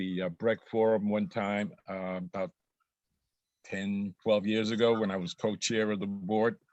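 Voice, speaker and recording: A man with a New York accent, fairly low pitch, fairly even intonation and a fairly slow pace. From New York City, Brooklyn (Bedford-Stuyvesant). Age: 70s. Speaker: activist and adjunct instructor. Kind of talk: self-introduction in panel discussion.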